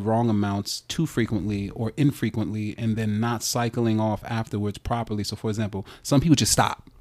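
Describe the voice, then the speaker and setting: A man talks at a fairly quick pace in an unremarkable speaking voice. The recording is very clean with a silent background. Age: 30s. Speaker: comedian and teacher. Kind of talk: casual chat.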